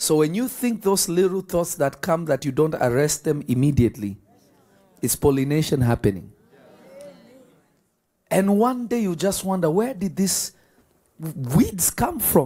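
Pitched high for a man, this man's voice has a dark, mellow tone, very wide pitch swings, a fairly slow pace and long, frequent pauses. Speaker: preacher. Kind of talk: sermon to a live congregation. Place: church. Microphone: handheld.

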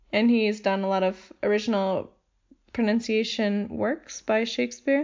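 In an American accent, a woman talks at a fairly slow pace. She has a fairly high pitch and an ordinary speaking voice. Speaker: podcast host, language enthusiast. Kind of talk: casual chat.

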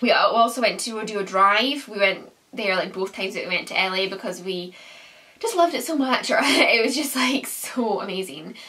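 A woman talks with lively intonation, keeping a moderate pace. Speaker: lifestyle vlogger. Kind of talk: casual vlog chat. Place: home room.

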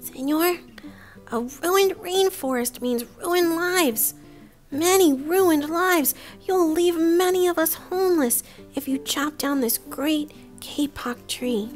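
Clear music plays behind a put-on character voice. It is squeaky and high-pitched. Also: fairly slow pace.

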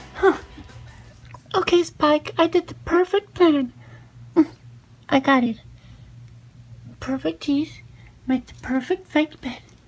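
A man uses a put-on character voice pitched extremely high. He speaks at a fairly slow pace with long, frequent pauses. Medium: role play. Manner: sassy, deadpan.

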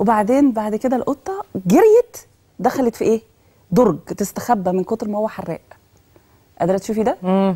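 Over a quiet background, a woman speaks at a moderate pace with a fairly high pitch, a dark, mellow tone, ordinary pitch variation and a somewhat breathy quality. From Egypt. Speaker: education specialist; guest. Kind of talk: TV talk show interview. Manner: animated. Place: studio.

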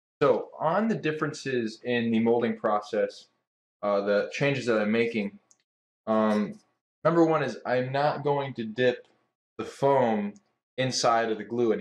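There is audible room echo as a man speaks with long, frequent pauses. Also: ordinary pitch variation. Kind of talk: casual engineering vlog. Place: workshop. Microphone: camera far.

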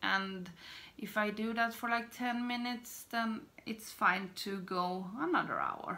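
Speaking very slowly with fairly even intonation, a woman talks in a Swedish accent. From Sweden. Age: 30s. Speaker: beauty vlogger. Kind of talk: casual talk to camera. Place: home room. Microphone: phone near.

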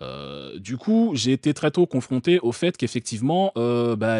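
A man at a fairly slow pace with very wide pitch swings, in a dry, close sound with no echo. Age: 30s. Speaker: streamer reacting to a video. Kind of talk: casual live-stream commentary.

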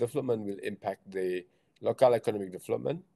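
A man is speaking against a quiet background. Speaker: presenter. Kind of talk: lecture. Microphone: video call.

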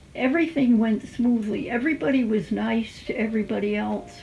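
A woman with an American accent speaks at a fairly slow pace in a fairly high voice. Music plays in the background. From Connecticut. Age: 80s+. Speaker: retired nursery school teacher. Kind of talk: interview answer. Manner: whispered. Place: home room.

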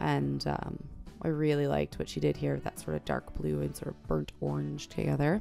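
Faint music plays in the background as a woman talks at a moderate pace. Her very deep, low voice keeps a fairly even intonation. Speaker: art journaler. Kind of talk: casual voice-over flip through. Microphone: studio mic.

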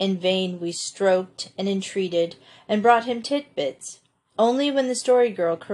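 A quiet background and plain reading aloud.

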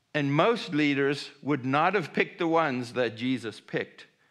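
Male speech over a quiet backdrop. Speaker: pastor. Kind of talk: sermon. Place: church.

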